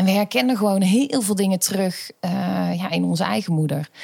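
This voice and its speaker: A woman speaks at a moderate pace and medium pitch in an unremarkable speaking voice. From Netherlands, North Brabant (Schijndel). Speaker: pedagogy lecturer. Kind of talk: personal testimony in an interview.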